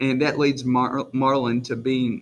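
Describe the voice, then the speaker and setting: A man with a strong Southern US accent, at a fairly slow pace, in monotone, flat intonation. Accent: strong rural Southern, self-described country. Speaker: teacher. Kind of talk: recorded lesson video for students. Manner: casual with many fillers.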